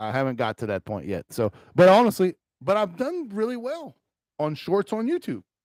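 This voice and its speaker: A man is heard on a very clean recording with a silent background. The sound is dry and close, without echo. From Louisiana Cajun country. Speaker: gaming streamer. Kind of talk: casual live stream chat. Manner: rambling casual with many fillers.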